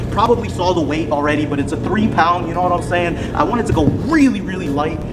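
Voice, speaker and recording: Music plays behind a man who talks very fast, his pitch varying in an ordinary way. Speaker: vlogger. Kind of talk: casual vlog chat. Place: gym. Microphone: phone near.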